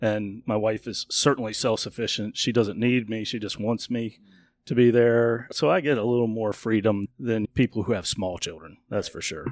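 A man with an ordinary speaking voice and medium pitch talks at a moderate pace with fairly even intonation, in a dry, close sound with no echo on a very clean recording with a silent background. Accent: American. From Northern Virginia. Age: 50s. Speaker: wilderness survival show contestant and businessman. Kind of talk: casual chat.

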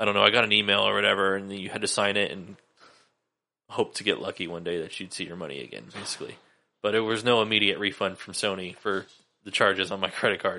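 A man with an American accent talks at a very fast pace with a bright, sharp tone, vocal fry and fairly even intonation. His loudness swings widely against a quiet background. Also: fairly low pitch for a man. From Sacramento, California. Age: 20s. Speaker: sneaker collector. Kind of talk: casual chat. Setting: home studio.

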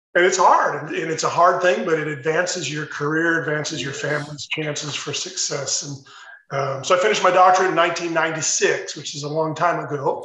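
A fairly high-pitched man with an American accent and fairly even intonation at a fairly quick pace, amid noticeable background noise and audible room echo. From US Midwest, Chicago suburbs. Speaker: retired school superintendent. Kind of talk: interview.

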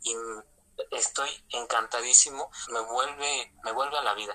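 A man speaks at a medium pitch with a bright, sharp tone. His intonation is fairly even. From Mexico, Toluca, State of Mexico. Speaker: former lay missionary. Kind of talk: testimony. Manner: halting, with repetitions.

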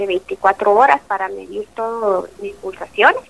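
The voice moves in very wide pitch swings at a fairly slow pace. The sound is dry and close with no echo, though noticeable background noise is present. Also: woman. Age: 40s. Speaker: mother sharing life story. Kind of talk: testimony.

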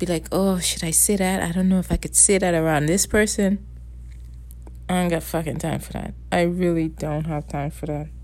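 A woman speaks with a Bahamian accent. Her pace is moderate. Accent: Bahamian Caribbean English. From Bahamas. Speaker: solo podcaster. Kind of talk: casual monologue rant. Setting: at home at night. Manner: rambling, profane.

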